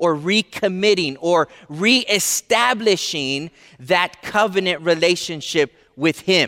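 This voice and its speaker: Recorded very cleanly against a silent background, with a dry, close sound and no echo, a man with an American accent and a high, bright, sharp voice speaks at a fairly slow pace with ordinary pitch variation. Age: 30s. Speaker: pastor. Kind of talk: sermon.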